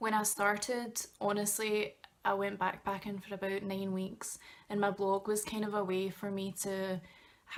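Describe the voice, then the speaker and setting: A woman speaks in a Glaswegian accent at a medium pitch and a fairly slow pace. Her intonation is monotone and flat, with noticeable background noise. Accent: Glaswegian Scottish. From Scotland, Glasgow. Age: 20s. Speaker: travel blogger and student. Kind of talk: vlog tutorial. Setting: bedroom, talking to camera. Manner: casual, with many fillers.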